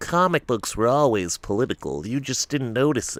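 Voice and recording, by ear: Put-on, whiny character voice with lively intonation at a moderate pace, dry and close with no echo. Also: man, medium pitch for a man.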